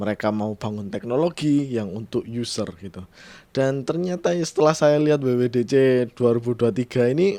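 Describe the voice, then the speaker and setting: A man with a strong Javanese accent speaks at a moderate pace and medium pitch, his tone dark and mellow. His pitch varies in an ordinary way, and the recording is very clean with a silent background. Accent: thick Javanese-accented Indonesian. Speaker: tech podcaster / YouTuber. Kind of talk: casual solo podcast commentary. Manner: casual, with fillers and restarts.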